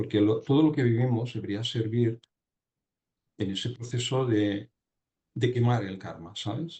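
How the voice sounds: A man talks in a fairly low voice with ordinary pitch variation. His tone is slightly mellow with a slightly husky edge.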